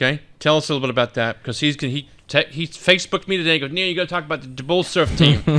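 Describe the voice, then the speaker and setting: Loud and very fast with hardly any pauses, a man talks at a fairly high pitch with ordinary pitch variation and a bright, sharp tone. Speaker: radio host. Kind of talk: radio show sign-off and interview.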